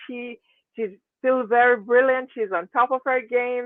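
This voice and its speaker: This woman has an unremarkable speaking voice. She talks at a fairly slow pace in a fairly high pitch. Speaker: community channel interviewer. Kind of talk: interview host.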